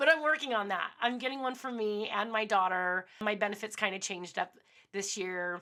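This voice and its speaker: The tone is bright and sharp, with ordinary pitch variation at a moderate pace. The recording is very clean, with a silent background. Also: woman. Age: 40s. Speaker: podcast host, former radio host. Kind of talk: casual monologue. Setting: home studio. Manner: unscripted, a little all over the place.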